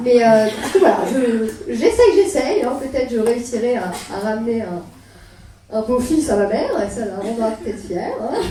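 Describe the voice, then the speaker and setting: Amid noticeable background noise and audible room echo, a woman speaks at a fairly slow pace with very wide pitch swings. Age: 20s. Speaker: stand-up comedian. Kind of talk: stand-up. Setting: stage with audience. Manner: hesitant. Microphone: poor recording quality.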